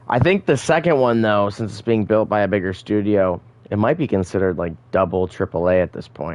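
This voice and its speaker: A man with a plain, everyday voice talks at a fairly low pitch. His pace is fairly quick and his intonation lively. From Michigan. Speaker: gaming streamer. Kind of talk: live gameplay commentary. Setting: live stream.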